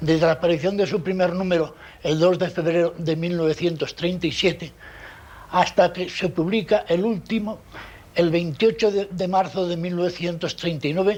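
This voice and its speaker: Pitched high for a man, this male voice moves at a moderate pace with fairly even intonation. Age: 70s. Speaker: journalist and anarchist veteran. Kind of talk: testimony. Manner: halting.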